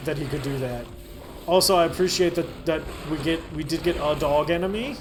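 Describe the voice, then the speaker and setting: The voice shows ordinary pitch variation against noticeable background noise and audible room echo. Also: man. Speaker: gaming video host. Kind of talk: let's play commentary. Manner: casual, animated.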